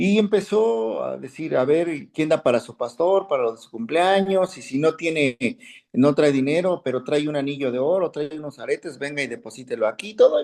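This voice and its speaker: Here a man with an unremarkable speaking voice talks at a moderate pace in a fairly high pitch for a man, with lively intonation and big swings in loudness. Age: 60s. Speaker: Bible class teacher. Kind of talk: class discussion, personal anecdote.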